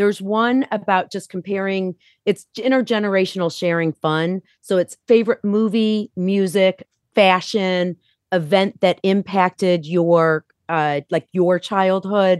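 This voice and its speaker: This woman has a plain, everyday voice. Her medium pitch follows a fairly even intonation. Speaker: author. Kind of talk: casual chat.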